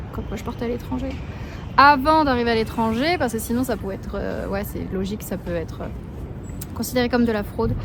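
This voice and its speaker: A woman talks fairly quickly, with noticeable background noise and audible room echo around her. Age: 20s. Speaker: travel vlogger. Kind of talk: casual vlog to camera. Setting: outdoors, walking in the street. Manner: whispering.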